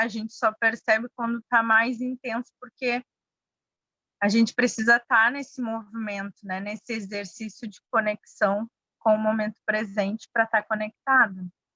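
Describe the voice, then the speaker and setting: In a Bahian accent, a woman speaks fairly slowly with a bright, sharp tone at a fairly high pitch, her intonation monotone and flat, the sound dry and close with no echo. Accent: Bahian Brazilian. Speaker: mindfulness workshop facilitator. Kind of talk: workshop discussion.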